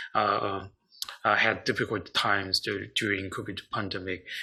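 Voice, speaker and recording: Vocal fry runs through a man's bright, sharp tone as he talks at a moderate pace. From South Korea. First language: Korean. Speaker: psychiatrist. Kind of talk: online seminar presentation. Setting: online video seminar. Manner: halting, many fillers.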